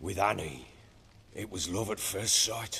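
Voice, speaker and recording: A man's gruff, put-on character voice at a moderate pace over clear background noise. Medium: video game. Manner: gruff, coarse-spoken.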